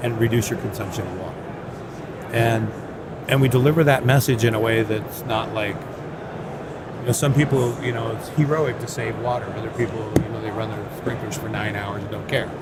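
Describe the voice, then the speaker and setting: At a fairly quick pace yet with long, frequent pauses, a man of medium pitch talks with fairly even intonation and big swings in loudness, amid noticeable background noise and audible room echo. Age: 60s. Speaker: HVAC contractor. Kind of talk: casual chat.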